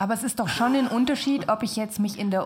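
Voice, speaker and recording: Somewhat breathy, the speech keeps a fairly even intonation. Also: woman. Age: 20s. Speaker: design student. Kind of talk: casual chat. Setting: studio.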